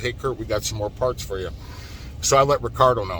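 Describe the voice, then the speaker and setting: An animated man at a very fast pace, ordinary pitch variation, noticeable background noise behind him. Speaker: truck driver. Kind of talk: vlog rant. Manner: halting.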